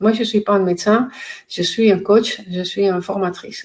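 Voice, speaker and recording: A woman speaks at a moderate pace in a medium-pitched, somewhat breathy voice with fairly even intonation. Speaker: pain coach and trainer. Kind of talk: educational talk to camera. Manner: halting, many hesitations.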